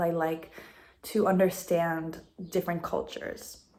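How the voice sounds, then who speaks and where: Speaking with an American accent, a woman has an unremarkable speaking voice at medium pitch, moving at a fairly slow pace with fairly even intonation. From United States. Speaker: language assistant. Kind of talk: interview.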